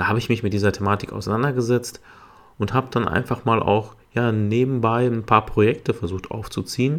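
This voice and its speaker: On a very clean recording with a silent background, a medium-pitched man talks fairly quickly with fairly even intonation. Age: 30s. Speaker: podcast host, HR and recruiting specialist. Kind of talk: solo podcast monologue. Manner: hesitant, many filler sounds.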